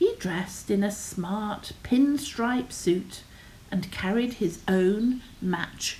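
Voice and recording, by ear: Someone reads aloud in a natural voice, and the pitch shifts in an ordinary way.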